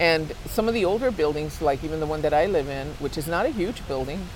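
A woman with an American accent speaks at a very deep, low pitch. Room echo and noticeable background noise are audible. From Los Angeles. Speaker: community activist. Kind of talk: casual chat.

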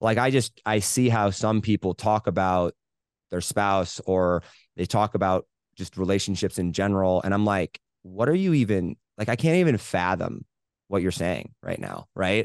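In an American accent, a man talks at a moderate pace with ordinary pitch variation against a quiet background. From US Midwest, rural Indiana. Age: 20s. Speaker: entrepreneur. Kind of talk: casual interview. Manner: animated.

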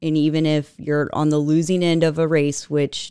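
In an American accent, a woman with a very deep, low pitch and a dark, mellow tone speaks at a moderate pace, with a dry, close sound with no echo and a very clean recording over a silent background. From Texas, Katy (Houston area). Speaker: energy nonprofit director, former congressional staffer. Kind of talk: interview.

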